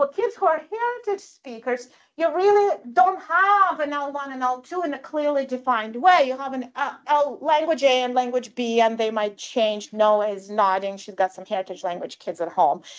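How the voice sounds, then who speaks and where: A woman with a Russian accent speaks at a high pitch and moderate pace, with hardly any pauses. Her pitch swings very widely and her loudness shifts a great deal. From Russia / former Soviet Union. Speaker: professor. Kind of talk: lecture. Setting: live-streamed talk with audience. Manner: conversational, frequent fillers.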